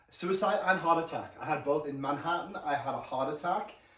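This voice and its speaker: A man at a moderate pace and fairly high pitch, with ordinary pitch variation, noticeable background noise and audible room echo. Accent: American. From England. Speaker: former hotel manager, professor. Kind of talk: interview.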